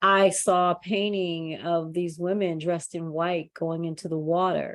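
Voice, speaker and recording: At a fairly slow pace, the speaker delivers monotone, flat intonation over a quiet background. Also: woman. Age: 50s. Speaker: podcast host and coach. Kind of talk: podcast interview.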